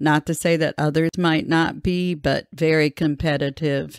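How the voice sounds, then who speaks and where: In a plain, everyday voice, a woman speaks at a moderate pace with fairly low pitch and fairly even intonation, the sound dry and close with no echo on a very clean recording with a silent background. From US Midwest, Grand Rapids, Michigan. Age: 60s. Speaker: university researcher. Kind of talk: oral history interview.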